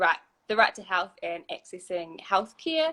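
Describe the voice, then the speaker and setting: A woman with a New Zealand accent at a moderate pace. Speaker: human rights lawyer. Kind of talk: casual panel discussion.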